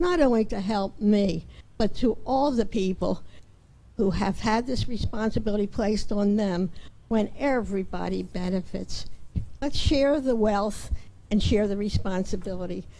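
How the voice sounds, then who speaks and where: Against audible room echo, a woman with an American accent speaks fairly slowly with a medium pitch and a dark, mellow tone. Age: 80s+. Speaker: resident speaking at public comment. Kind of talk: public comment at council meeting. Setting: town council meeting.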